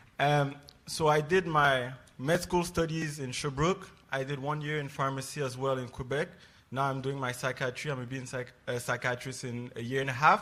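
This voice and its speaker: Speaking at a moderate pace with a French accent, a man has a fairly high pitch, fairly even intonation and a bright, sharp tone. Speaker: psychiatry resident. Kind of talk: panel introduction. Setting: stage with audience.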